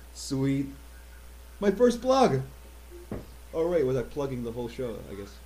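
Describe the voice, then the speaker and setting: A man speaks with big swings in loudness and long, frequent pauses. Audible room echo surrounds his voice. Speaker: show host. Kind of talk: casual chat. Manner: fast; halting, repeats words.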